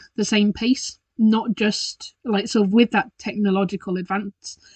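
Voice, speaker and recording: Somewhat breathy, a woman's voice proceeds at a fairly slow pace. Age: 30s. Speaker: podcast host, children's mindfulness teacher. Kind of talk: casual solo podcast talk. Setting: recording at home in bedroom. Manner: hesitant, filler-heavy.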